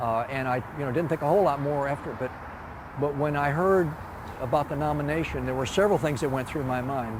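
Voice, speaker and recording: Fairly quick speech with ordinary pitch variation, noticeable background noise and audible room echo. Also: man. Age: 70s. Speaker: retired park designer. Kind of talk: interview. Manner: halting, many fillers.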